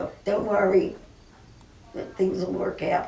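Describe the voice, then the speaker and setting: At a moderate pace, the speech carries audible room echo and noticeable background noise. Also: woman. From US West, Burbank, California. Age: 70s. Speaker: cooking show host. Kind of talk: personal remembrance monologue. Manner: emotional, halting.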